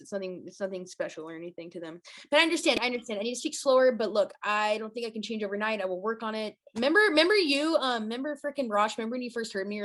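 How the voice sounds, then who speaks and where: A woman speaks at a very fast pace with hardly any pauses, in an excited, energetic tone. Her fairly high pitch carries lively intonation and big swings in loudness. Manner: fast talker.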